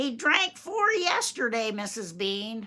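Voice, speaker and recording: A woman puts on a character voice with a fairly high pitch. Her pitch swings very widely. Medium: read story. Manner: coarse, deferential.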